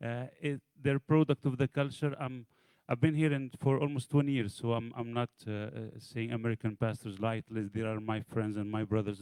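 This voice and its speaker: In a dry, close sound with no echo, a man with an Arabic accent speaks at a medium pitch with ordinary pitch variation. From Egypt. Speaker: pastor. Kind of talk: audience question. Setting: church event with audience.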